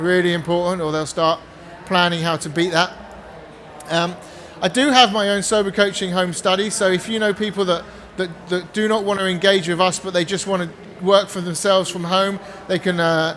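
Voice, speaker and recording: A man speaks in a high voice with fairly even intonation over noticeable background noise. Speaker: addiction recovery coach. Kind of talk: seminar talk with sales pitch. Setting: stage with audience. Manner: fast.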